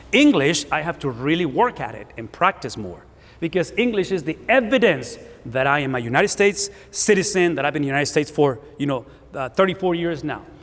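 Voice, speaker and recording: Talking at a fairly quick pace with a Spanish accent, a man uses a fairly high pitch with very wide pitch swings and big swings in loudness. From Spanish-speaking country, came to US at 17. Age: 50s. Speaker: pastor. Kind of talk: sermon.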